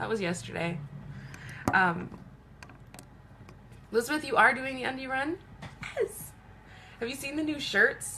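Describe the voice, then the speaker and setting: A woman uses a raised, projected voice at a high pitch, with very wide pitch swings. She keeps a moderate pace but takes long, frequent pauses. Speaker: makeup seller doing live beauty stream. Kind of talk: casual live stream chat. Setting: home, live video stream. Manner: animated.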